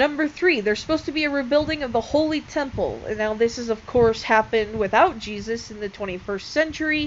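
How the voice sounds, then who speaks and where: Over noticeable background noise, a woman talks at a very fast pace with hardly any pauses, her pitch high. Her intonation is lively, and her loudness swings a lot. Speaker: religion video creator. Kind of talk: casual explainer video. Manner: hesitant, many fillers.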